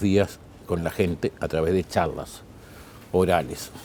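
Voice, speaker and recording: This man's voice is very deep and low, with a dark, mellow tone. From Uruguay. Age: 60s. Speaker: plane crash survivor, speaker and painter. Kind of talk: interview.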